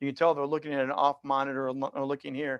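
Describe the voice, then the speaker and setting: A man is speaking. The background is quiet. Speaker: virtual presentation coach. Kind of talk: webinar Q&A. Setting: video call. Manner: animated.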